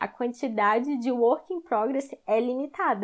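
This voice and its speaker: Here a woman talks at a moderate pace. Her pitch is high. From southern Brazil, Florianópolis. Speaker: DevOps professional. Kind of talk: casual chat.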